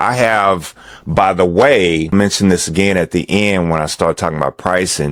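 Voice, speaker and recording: A man's unremarkable speaking voice at a fairly slow pace, with ordinary pitch variation. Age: 60s. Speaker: tech tutorial youtuber. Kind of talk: tutorial. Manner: casual, with many fillers and restarts.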